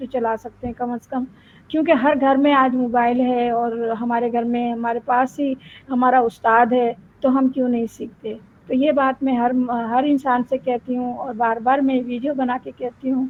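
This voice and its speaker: High in pitch, a woman speaks with monotone, flat intonation. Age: 60s. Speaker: adult student. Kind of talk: interview answer.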